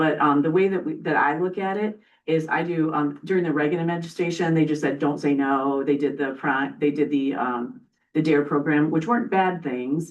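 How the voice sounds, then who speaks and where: A woman's very deep, low voice at a moderate pace, with ordinary pitch variation. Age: 60s. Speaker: prevention educator presenting to county board. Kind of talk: public meeting presentation. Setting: county board meeting.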